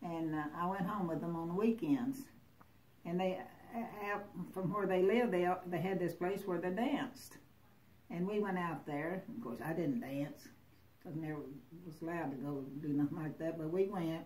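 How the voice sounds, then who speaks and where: In a Southern US accent, the speaker moves at a moderate pace with lively intonation and long, frequent pauses. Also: woman, fairly low pitch for a woman. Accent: Southern US (Oklahoma). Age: 80s+. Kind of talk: interview answer.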